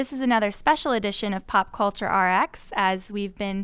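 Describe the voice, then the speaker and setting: In a very clean recording with a silent background, a woman speaks in a plain, everyday voice at a fairly high pitch, with a moderate pace and ordinary pitch variation. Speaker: podcast host. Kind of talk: interview podcast discussion.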